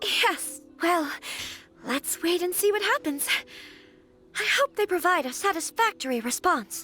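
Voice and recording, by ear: Putting on a character voice, a woman speaks at an extremely high pitch with lively intonation and a bright, sharp tone at a fairly slow pace. Faint music plays behind the dry, close sound with no echo.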